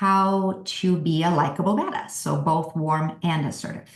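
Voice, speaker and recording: A somewhat breathy woman talks at a moderate pace. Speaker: workshop presenter. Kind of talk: virtual workshop presentation.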